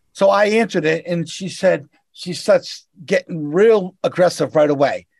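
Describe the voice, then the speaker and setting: Speaking with a Boston accent, a man uses lively intonation. The sound is dry and close, with no echo. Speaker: rideshare driver. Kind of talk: casual chat.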